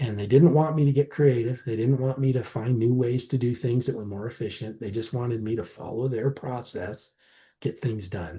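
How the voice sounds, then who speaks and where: A man with an American accent speaks at a moderate pace in a medium-pitched, somewhat breathy, dark and mellow voice with ordinary pitch variation over a quiet background. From southwestern Colorado, rural. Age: 50s. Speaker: startup founder. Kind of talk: podcast interview. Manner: animated.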